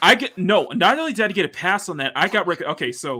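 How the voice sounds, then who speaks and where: On a very clean recording with a silent background, a man with an American accent talks at a moderate pace in a bright, sharp tone with lively intonation. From Texas. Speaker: artist and livestreamer. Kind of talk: casual chat. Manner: animated.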